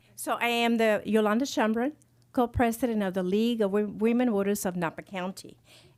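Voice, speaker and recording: A woman's fairly high voice at a fairly quick pace, with fairly even intonation, on a very clean recording with a silent background. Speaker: civic group co-president, former teacher. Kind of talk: ceremonial remarks. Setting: podium at public board meeting. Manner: quiet at first.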